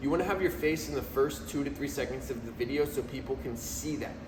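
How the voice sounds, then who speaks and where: Amid noticeable background noise and audible room echo, a man at medium pitch talks at a moderate pace. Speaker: video marketing business founder. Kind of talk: casual vlog talk. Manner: casual, filler-heavy.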